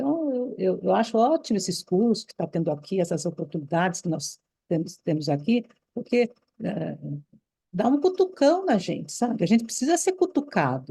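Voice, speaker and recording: A dark, mellow, somewhat breathy voice at a moderate pace with very wide pitch swings. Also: woman, medium pitch for a woman. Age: 70s. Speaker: former Waldorf teacher, course participant. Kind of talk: online course discussion. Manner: animated.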